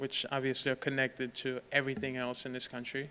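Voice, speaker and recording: Here is a man with an American accent at medium pitch. He talks fairly quickly in a monotone, flat intonation. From Haiti, later New York. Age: 20s. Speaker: author and speaker. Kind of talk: campus talk with slides. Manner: conversational, many fillers.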